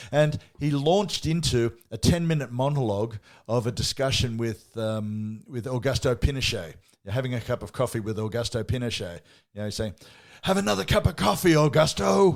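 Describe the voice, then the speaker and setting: Speaking at a fairly quick pace, a man with an Australian accent uses an animated tone and lively intonation in a very clean recording with a silent background. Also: medium pitch for a man. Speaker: podcast co-host. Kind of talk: casual chat.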